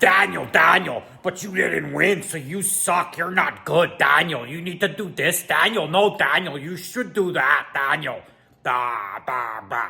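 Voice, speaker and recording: Putting on a character voice, a man speaks fairly slowly at a high pitch. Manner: whiny, nagging, mocking.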